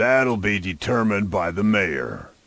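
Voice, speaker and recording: Putting on a character voice, a man speaks at a moderate pace in a raspy, fairly low pitch with lively intonation. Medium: video game.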